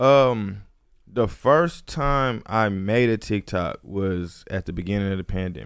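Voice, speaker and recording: A plain, everyday voice from a man with an American accent, fairly low in pitch, with lively intonation at a fairly slow pace, on a very clean recording with a silent background. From Houston, Texas. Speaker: rapper. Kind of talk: casual chat.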